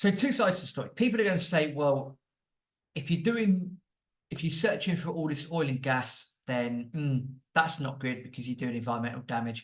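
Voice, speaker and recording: A man with a British accent speaks at a moderate pace, his intonation lively and his voice somewhat breathy. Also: fairly high pitch for a man. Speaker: property podcast host. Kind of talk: commentary monologue. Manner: animated.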